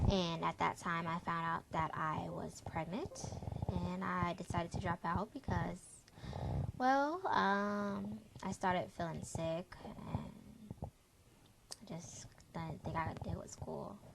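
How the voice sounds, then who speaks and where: A woman's words come very slowly while noticeable background noise carries on behind her. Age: 20s. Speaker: young single parent, parents' group organizer. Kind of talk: personal testimony vlog. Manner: hesitant, many fillers.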